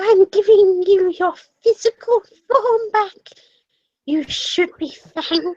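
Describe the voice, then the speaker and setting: Delivered in a put-on character voice, the speech moves at a fairly slow pace with long, frequent pauses. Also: female-sounding voice, extremely high pitch for a woman. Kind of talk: comic overacting. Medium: game stream. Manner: imperious, comic overacting.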